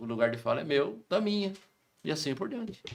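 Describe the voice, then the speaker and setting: A man speaks with very wide pitch swings. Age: 60s. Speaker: lawyer. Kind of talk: interview answers. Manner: emphatic.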